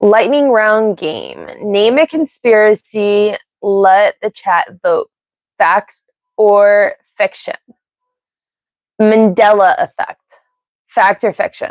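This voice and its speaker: A woman's fairly high voice at a very slow pace, with long, frequent pauses. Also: ordinary pitch variation. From US, Pennsylvania and Ohio. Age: 40s. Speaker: live streamer. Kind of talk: casual live stream chat. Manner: rambling, tangential.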